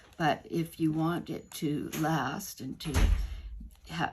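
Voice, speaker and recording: A woman speaks at a very deep, low pitch with ordinary pitch variation. Vocal fry runs through her voice. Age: 70s. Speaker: craft YouTuber. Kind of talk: product review and demonstration. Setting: at home. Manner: halting, many fillers and restarts.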